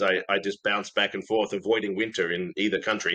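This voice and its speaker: A man with an American accent, at a very fast pace, in a bright, sharp tone. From Australia. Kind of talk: casual interview chat.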